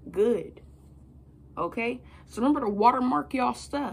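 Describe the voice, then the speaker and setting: A woman speaks with ordinary pitch variation and vocal fry. Light background noise can be heard. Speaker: motivational speaker. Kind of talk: motivational talk to camera. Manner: casual, energetic. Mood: confident, motivational. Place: home room. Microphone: phone near.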